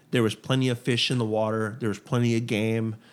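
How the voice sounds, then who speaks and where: With an American accent, a man speaks at a fairly quick pace in a medium pitch with monotone, flat intonation. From South Texas, Port Lavaca (Gulf Coast). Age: 40s. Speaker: podcast guest, music fan. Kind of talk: casual chat.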